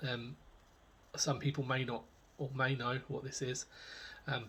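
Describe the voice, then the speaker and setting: A man with a British accent speaks at a moderate pace in a fairly high, somewhat breathy voice. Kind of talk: casual talk to camera. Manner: hesitant, many filler words.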